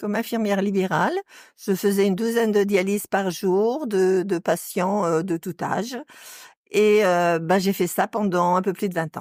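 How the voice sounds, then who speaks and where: A woman speaks with an ordinary speaking voice at a medium pitch, her intonation fairly even. The pace is fairly slow, and the recording is very clean with a silent background. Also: dry, close sound with no echo. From western France, Nantes area. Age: 60s. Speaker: retired nurse. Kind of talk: interview.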